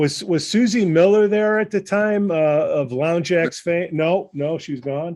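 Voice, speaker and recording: A man with a Chicago accent, high-pitched, fairly slow with hardly any pauses, and ordinary pitch variation. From Chicago, northwest side. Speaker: podcast host. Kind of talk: casual chat.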